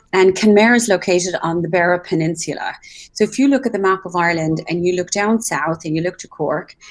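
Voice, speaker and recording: With an Irish accent, a woman talks at a fairly quick pace with ordinary pitch variation. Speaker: travel show host. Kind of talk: live broadcast chat. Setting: live video call from a hotel. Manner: soft-spoken, kept low.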